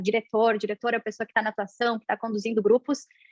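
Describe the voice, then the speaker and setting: A woman speaks in a fairly high voice, recorded with a dry, close sound and no echo. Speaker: university lecturer in performing arts. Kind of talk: academic panel talk.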